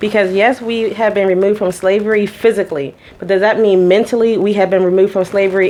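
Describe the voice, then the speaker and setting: In an American accent, a woman speaks very fast at medium pitch in an animated tone. Noticeable background noise runs behind her. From Pittsburgh, Pennsylvania. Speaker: event business co-owner. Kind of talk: casual discussion.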